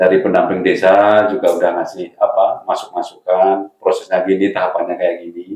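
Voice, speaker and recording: A man with a Javanese accent talks at a fairly quick pace. He leaves hardly any pauses. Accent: non-Sundanese, Javanese-sounding. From Central Java (Karanganyar). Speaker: village cooperative chairman. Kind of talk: interview.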